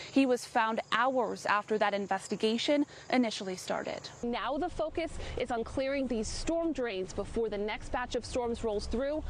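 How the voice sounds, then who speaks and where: There is noticeable background noise as a woman talks at a high pitch. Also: ordinary pitch variation, moderate pace. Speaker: television news reporter. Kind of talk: TV news field reporting, live and packaged.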